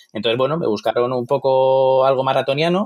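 His pace is very fast. This man's pitch is medium. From Madrid, Spain. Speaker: photographer. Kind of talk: interview. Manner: hesitant, with many fillers.

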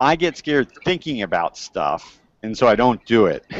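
Speaking with an American accent at a moderate pace and medium pitch, a man is heard in a dry sound with no echo against a quiet background. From US, Miami Beach, Florida; Florida. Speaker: cave diver and environmental anthropologist. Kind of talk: educational talk to school classes. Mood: friendly, animated. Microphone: earbuds.

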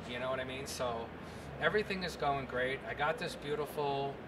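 Noticeable background noise sits behind a man. He has an American accent and speaks at a moderate pace. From New York, Long Island. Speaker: gunsmith and TV host. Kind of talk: interview answer. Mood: animated, humorous storytelling. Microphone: handheld.

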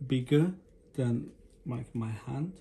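Light background noise sits behind the voice. A man speaks with a non-native accent. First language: not English. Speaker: unboxing vlogger. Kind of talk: casual unboxing talk to camera. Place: home room. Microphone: phone near.

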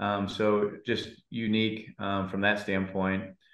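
A man's fairly low-pitched voice with audible room echo against a quiet background. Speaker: head football coach. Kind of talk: interview answer. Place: office. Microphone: video call.

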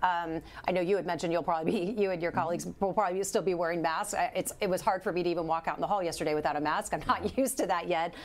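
Very fast and with fairly even intonation, a woman speaks at a fairly low pitch. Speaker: health show host. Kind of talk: live medical news show. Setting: studio. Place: studio. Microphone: lapel.

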